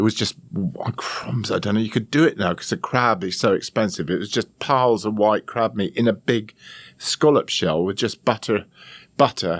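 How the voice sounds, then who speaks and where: In a very clean recording with a silent background and a dry, close sound with no echo, a man with an English accent speaks at a moderate pace in a fairly low pitch with ordinary pitch variation. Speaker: chef and TV presenter. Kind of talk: podcast interview answer. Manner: calm, amused.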